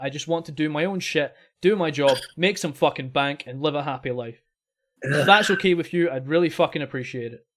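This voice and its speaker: A man with a Scottish accent and a fairly high pitch speaks at a fairly quick pace with ordinary pitch variation, in a very clean recording with a silent background. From Scotland. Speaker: podcast host. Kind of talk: casual chat. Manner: animated.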